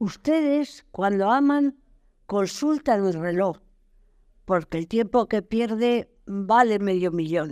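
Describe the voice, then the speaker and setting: Speaking at a very slow pace, a woman uses lively intonation and a dark, mellow tone on a very clean recording with a silent background. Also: medium pitch for a woman. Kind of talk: poetry reading. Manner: rhythmic, playful, defiant.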